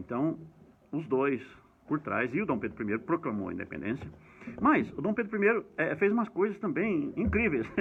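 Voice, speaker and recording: With very wide swings in pitch, a man talks in a fairly high register. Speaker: history educator. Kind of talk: lecture. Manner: fast.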